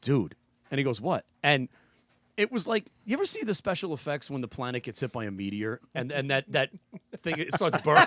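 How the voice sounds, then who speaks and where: A loud man with a fairly high pitch, very wide pitch swings and a bright, sharp tone at a fairly quick pace, in a dry, close sound with no echo. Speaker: podcast guest. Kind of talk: casual chat. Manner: animated. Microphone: too close to the mic, loud.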